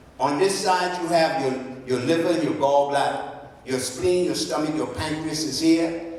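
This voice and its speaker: A man with a fairly high voice speaks at a fairly slow pace, his tone animated and his pitch varying in an ordinary way. Noticeable background noise and audible room echo surround him. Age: 70s. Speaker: health practitioner. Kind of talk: talk to an audience.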